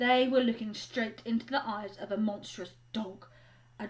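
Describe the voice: The text gets plain reading aloud, and the intonation stays fairly even.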